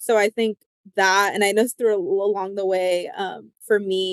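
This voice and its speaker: A woman's medium-pitched voice with a Spanish accent, fairly slow, in a dry, close sound with no echo. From United States, Spanish-speaking immigrant family. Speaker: psychologist. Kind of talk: interview. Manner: casual, many fillers.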